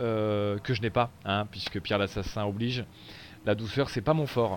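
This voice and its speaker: A man is talking. His pace is moderate. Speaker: gaming streamer. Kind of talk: live gameplay commentary. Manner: animated.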